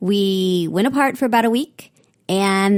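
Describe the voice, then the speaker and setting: A woman speaks at medium pitch with ordinary pitch variation in an ordinary speaking voice. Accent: American. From San Francisco Bay Area, California. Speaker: podcast host and law professor. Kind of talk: interview conversation.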